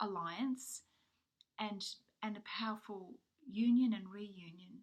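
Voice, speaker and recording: A woman's fairly high, somewhat breathy voice, fairly even in intonation and fairly slow in pace. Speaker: tarot card reader. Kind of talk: spiritual card reading monologue. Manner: hesitant, many fillers.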